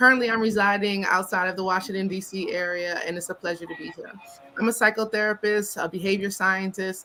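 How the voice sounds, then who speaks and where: Someone with a New York accent talks at a very fast pace with fairly even intonation and big swings in loudness. Music plays in the background. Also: woman, medium pitch for a woman. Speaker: psychotherapist. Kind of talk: panel interview.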